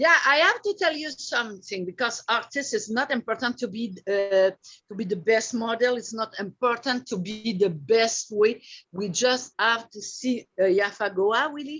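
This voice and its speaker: A woman's bright, sharp voice, fairly high in pitch, with ordinary pitch variation. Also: moderate pace. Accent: French. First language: French. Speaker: artist and body painting model. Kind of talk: casual chat. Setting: video call. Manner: halting.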